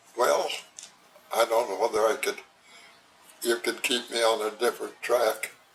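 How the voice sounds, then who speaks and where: A man speaks with long, frequent pauses amid noticeable background noise. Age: 90s. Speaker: retired railroad worker. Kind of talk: oral history interview. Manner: slow.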